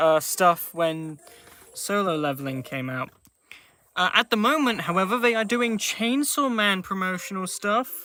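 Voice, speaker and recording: Someone with a British accent speaks at a fairly slow pace while music plays in the background. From Britain. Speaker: gaming streamer. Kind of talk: live gaming stream commentary. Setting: live stream.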